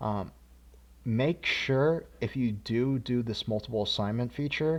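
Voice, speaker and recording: The recording is very clean with a silent background, and the speech moves at a fairly slow pace. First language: not English. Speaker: programming course instructor. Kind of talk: tutorial. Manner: casual, many filler words.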